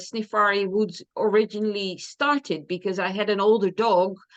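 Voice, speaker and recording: Here a woman speaks with a Dutch accent. Her pitch is fairly high. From Netherlands. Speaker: dog trainer. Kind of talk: interview.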